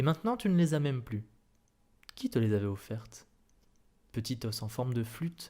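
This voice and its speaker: Soft-spoken and somewhat breathy, a man uses a dark, mellow tone on a very clean recording with a silent background. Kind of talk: soft-spoken ASMR reading of a short story. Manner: soft-spoken, murmured.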